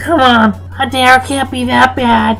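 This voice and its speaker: A put-on character voice at a fairly slow pace, with clear music in the background. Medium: read story.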